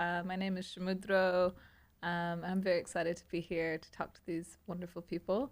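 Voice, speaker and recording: A woman with an American accent talks at a moderate pace and medium pitch, her loudness swinging widely, in a very clean recording with a silent background. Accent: sounds American, per own remark. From grew up internationally, international schools. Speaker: somatic sex educator. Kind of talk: casual podcast chat.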